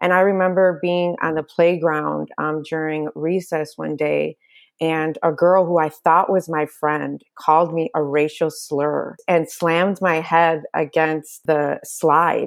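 A woman with an American accent, very deep and low in pitch, very slow and monotone with hardly any pauses, on a very clean recording with a silent background. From Chicago suburbs. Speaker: teacher and speaker. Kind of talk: interview testimony.

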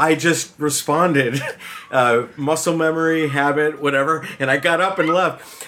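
Music plays in the background as a man speaks. His pitch is fairly high and his pace fairly slow. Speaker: guest co-host of a gaming podcast. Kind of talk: casual chat.

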